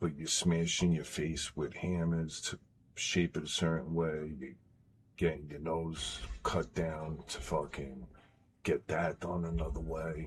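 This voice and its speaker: A man speaks at a very deep, low pitch with vocal fry. His intonation stays fairly even and his pace is fairly slow. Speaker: gaming streamer. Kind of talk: live stream chat. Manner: quiet, not raised; halting.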